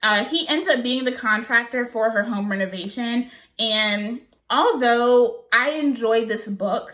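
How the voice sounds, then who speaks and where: Animated woman's voice, fairly high in pitch, with ordinary pitch variation and a slight Southern US accent. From US South. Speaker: book vlogger. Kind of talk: casual chat.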